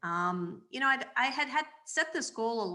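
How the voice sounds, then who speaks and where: A woman's bright, sharp tone comes through at a fairly slow pace. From grew up in Alexandria, Virginia, Spanish immigrant family. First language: Spanish. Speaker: marketing executive and children's book author. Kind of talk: interview.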